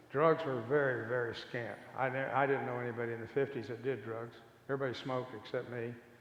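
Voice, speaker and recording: An American-accented man rattles along at a very fast pace in a flat monotone at medium pitch, with audible room echo. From Kansas, US. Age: 80s+. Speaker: recovery speaker. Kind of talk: testimony.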